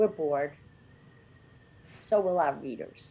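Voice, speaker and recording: This woman's voice has a dark, mellow tone. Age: 60s. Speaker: podcast co-host. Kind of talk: casual chat.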